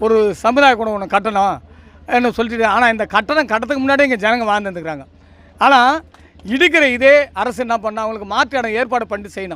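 This man's voice is extremely high-pitched, bright and sharp, raised and projected, with ordinary pitch variation. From Tamil Nadu, Tiruvallur area. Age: 60s. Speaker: local resident, community spokesperson. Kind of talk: street interview, complaint to press.

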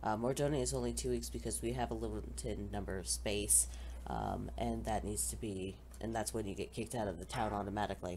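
The voice has a dark, mellow tone with vocal fry. Its intonation is lively and the pace fairly quick. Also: woman, very deep, low pitch for a woman. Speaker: Minecraft server tutorial host. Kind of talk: screen-recorded tutorial narration. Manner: casual, hesitant.

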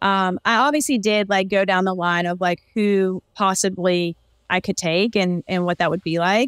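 With ordinary pitch variation, a woman speaks at a moderate pace in a dry sound with no echo and a quiet background. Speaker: podcast guest. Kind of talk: interview answer. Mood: upbeat, smiling. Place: home room. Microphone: video call.

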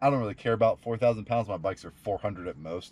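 A man at a fairly quick pace. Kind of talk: casual vlog chat. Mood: happy, relaxed. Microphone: camera far.

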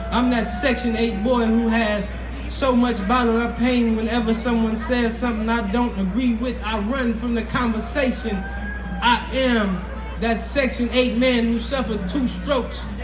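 Fairly slow delivery over noticeable background noise. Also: man. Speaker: spoken word artist. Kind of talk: spoken word poetry performance. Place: stage. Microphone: pa.

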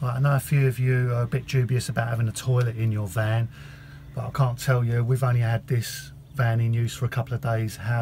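Over noticeable background noise, a man with a medium-pitched, somewhat breathy voice and a dark, mellow tone talks very fast with fairly even intonation. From England. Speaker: travel vlogger. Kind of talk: travel vlog narration. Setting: on the road and at campsites. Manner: casual, chatty. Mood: relaxed, pleased. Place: car. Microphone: phone near.

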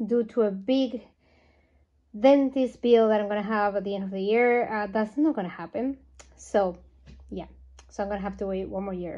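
Over a quiet background, a woman's voice shows ordinary pitch variation. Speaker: doll collector vlogger. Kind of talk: casual vlog chat. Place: home room. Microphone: phone near.

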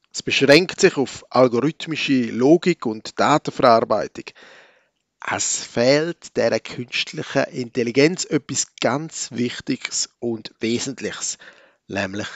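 Medium in pitch, a man's voice shows ordinary pitch variation. He talks at a very slow pace. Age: 40s. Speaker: church podcaster. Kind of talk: reflective sermon-style monologue.

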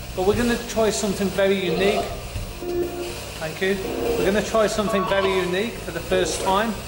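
A man's high-pitched voice, fairly even in intonation, at a moderate pace over clear background music. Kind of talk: explanatory commentary to camera. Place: stage. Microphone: camera far.

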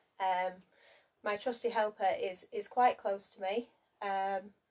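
A woman speaks slowly at medium pitch. Her tone is slightly mellow and her intonation fairly even.

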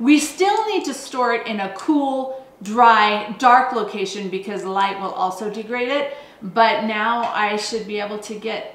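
A woman's voice with audible echo from the room. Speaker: homesteading channel co-host. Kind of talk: tutorial. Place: kitchen.

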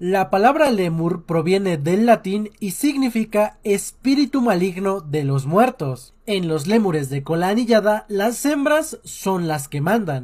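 Against a quiet background, a man speaks at a fairly slow pace. His pitch swings very widely. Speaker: animal facts creator. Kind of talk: educational commentary. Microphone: phone near.

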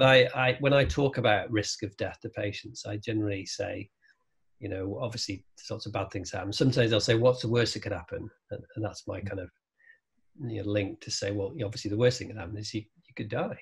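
Talking at a very fast pace over a quiet background, a man with a fairly low, somewhat breathy voice shows big swings in loudness. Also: ordinary pitch variation. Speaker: guest. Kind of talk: interview answer. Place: home room. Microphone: video call.

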